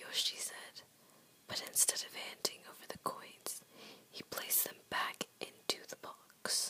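Someone whispers at a fairly slow pace. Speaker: reader of a children's book. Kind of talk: whispered ASMR picture book reading. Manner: whispered, soft, relaxing. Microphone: phone near.

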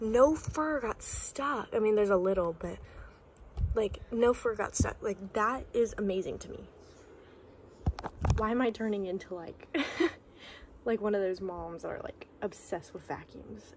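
Over light background noise, the voice moves at a moderate pace with ordinary pitch variation, big swings in loudness, and long, frequent pauses. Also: woman. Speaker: vlogger. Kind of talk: casual vlog chat. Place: home room. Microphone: phone near.

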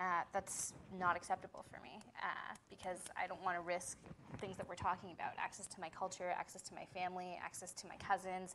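Amid noticeable background noise, a woman speaks at a fairly quick pace in a bright, sharp tone with monotone, flat intonation. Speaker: panelist. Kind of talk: panel discussion. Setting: public forum with audience. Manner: casual, uses filler like. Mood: earnest, personal. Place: classroom.

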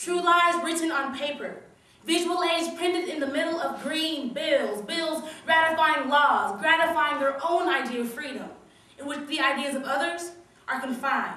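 A woman's high, raised and projected voice at a moderate pace, with ordinary pitch variation and audible room echo. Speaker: slam poet. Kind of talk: slam poetry performance, political spoken-word piece delivered live. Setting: stage with audience. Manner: rhythmic, punchy wordplay with building, accusatory intensity; long breathless run-on lines driving toward climaxes. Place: hall. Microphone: camera far.

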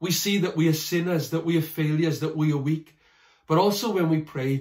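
The background is quiet, yet audible room echo follows this man as he talks. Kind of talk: sermon. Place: home room. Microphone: phone near.

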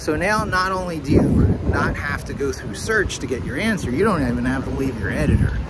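Noticeable background noise behind a man's fairly quick talking. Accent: American. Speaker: vlogger and SEO professional. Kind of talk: solo vlog, rambling monologue and tech talk. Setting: outdoors, walking in Times Square. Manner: conversational, rambling, animated.

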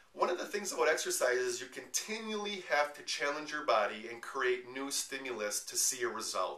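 There is audible room echo as a man speaks at a fairly quick pace. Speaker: personal trainer. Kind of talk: promotional tutorial talk. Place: home room. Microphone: camera far.

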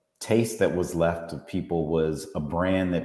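With audible room echo and a quiet background, a man talks at a moderate pace in a very deep, low pitch. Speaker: guest. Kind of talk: interview answer. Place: home room. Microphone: earbuds.

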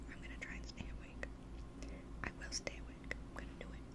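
A woman speaks at a fairly quick pace over loud background noise. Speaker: ASMR creator. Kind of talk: ASMR whispered rambles. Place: home room. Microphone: studio mic.

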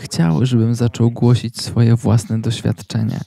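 In a dry, close recording with no echo, a man speaks at a medium pitch and a very slow pace. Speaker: channel host and sermon translator. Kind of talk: voice-over reading of a translated sermon. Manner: halting, filler-heavy in own intro.

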